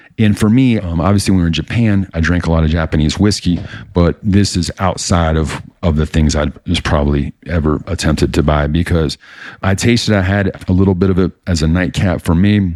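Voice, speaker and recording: A man with an American accent and a very deep, low pitch talks at a fairly quick pace on a very clean recording with a silent background. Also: ordinary pitch variation. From United States. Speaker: podcast host. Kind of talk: casual podcast monologue. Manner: fast; animated.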